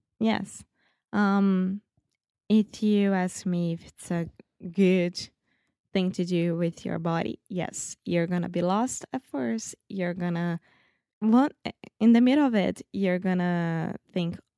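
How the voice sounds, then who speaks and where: A woman with a Brazilian accent at medium pitch, very slow pace and ordinary pitch variation, her dark, mellow tone broken by long, frequent pauses, in a very clean recording with a silent background and a dry, close sound with no echo. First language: Portuguese. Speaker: English learner, girlfriend of host. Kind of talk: casual chat.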